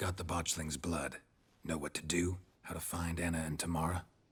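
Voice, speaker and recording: In a put-on character voice, a man speaks fairly quickly in a raspy, very deep, low register, deadpan in tone with monotone, flat intonation. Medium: video game. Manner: terse, dry, deadpan.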